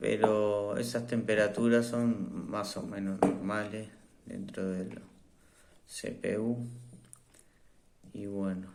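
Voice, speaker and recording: A man's fairly low, monotone voice at a very slow pace, with long, frequent pauses, big swings in loudness and audible room echo. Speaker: tech reviewer. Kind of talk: product review. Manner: hesitant, many fillers.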